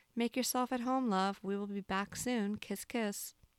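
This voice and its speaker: The recording is very clean, with a silent background and a dry, close sound with no echo. An unremarkable speaking voice moves at a moderate pace with fairly even intonation. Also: woman. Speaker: podcast host reading aloud. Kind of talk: literary audiobook reading of a novel, first-person narration.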